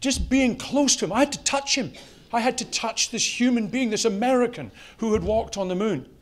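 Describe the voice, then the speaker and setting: A man speaks at an extremely high pitch with ordinary pitch variation. His pace is fairly quick. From Europe. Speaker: company CEO, conference speaker. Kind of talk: conference talk. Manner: animated.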